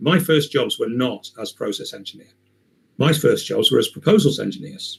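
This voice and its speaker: The voice belongs to a man. There is some breathiness in it. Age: 60s. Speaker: chemical process engineer. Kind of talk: online Q&A talk. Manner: hesitant, many fillers.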